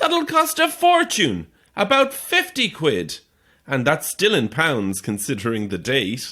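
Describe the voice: A man puts on a character voice with a fairly high pitch and a bright, sharp tone, going at a fairly slow pace with very wide pitch swings. The recording is very clean, with a silent background.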